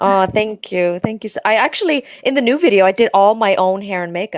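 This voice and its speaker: A woman with an Icelandic accent speaks at a fairly quick pace and medium pitch, with ordinary pitch variation. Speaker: pop singer. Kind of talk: interview. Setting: audio-only video call. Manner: halting, many fillers.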